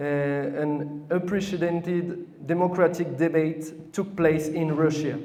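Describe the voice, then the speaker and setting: Through audible room echo, a man with a French accent and a high pitch speaks very slowly with fairly even intonation. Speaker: communist party representative. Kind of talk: speech to an audience. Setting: hall with audience, microphone. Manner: halting, with false starts.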